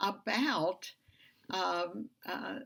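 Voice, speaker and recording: A woman speaks at a medium pitch with vocal fry. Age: 70s. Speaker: Bible study teacher. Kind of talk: Bible study lesson. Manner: halting, many fillers.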